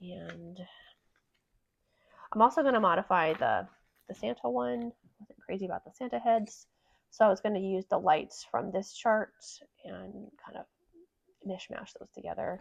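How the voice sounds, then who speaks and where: Her voice shows vocal fry and big swings in loudness as a woman at a medium pitch speaks at a moderate pace with long, frequent pauses. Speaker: cross stitch vlogger. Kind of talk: casual show-and-tell chat.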